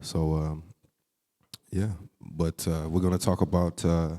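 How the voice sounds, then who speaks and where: A man with a Texas accent speaks in a very deep, low pitch and a dark, mellow tone, at a moderate pace with monotone, flat intonation. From Texas, Houston. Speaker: jazz saxophonist and music educator. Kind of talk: public talk.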